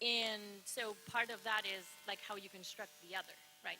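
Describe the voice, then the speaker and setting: A woman with a non-native accent speaks at a medium pitch with a bright, sharp tone. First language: not English. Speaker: audience member asking questions at academic colloquium. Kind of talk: Q&A question. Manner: halting, many fillers.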